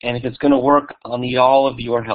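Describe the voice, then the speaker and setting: Medium-pitched male voice with an American accent and monotone, flat intonation. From New York. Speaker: museum digital learning director. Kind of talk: conference presentation. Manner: fast.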